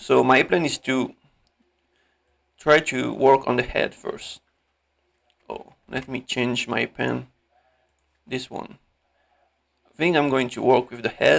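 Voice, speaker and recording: Speech comes at a very slow pace with a non-native accent and long, frequent pauses. Loudness swings widely. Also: man. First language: not English. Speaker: animator, tutorial creator. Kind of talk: tutorial. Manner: halting; casual.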